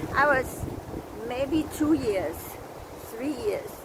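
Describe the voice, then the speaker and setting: Over noticeable background noise, a woman speaks very slowly in a high pitch with lively intonation. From Denmark. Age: 80s+. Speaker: video blogger. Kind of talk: vlog monologue. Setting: outdoors.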